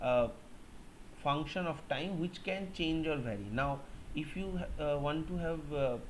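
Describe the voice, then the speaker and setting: A man talks at a fairly slow pace and fairly high pitch with ordinary pitch variation. Room echo is audible. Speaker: college lecturer. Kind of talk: lecture. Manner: hesitant, many fillers.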